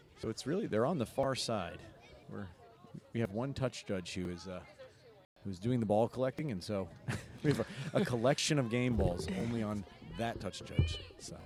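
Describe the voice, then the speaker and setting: Lively intonation from a man with an American accent, medium pitch, moderate pace, long, frequent pauses and noticeable background noise. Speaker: rugby commentator. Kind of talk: live commentary.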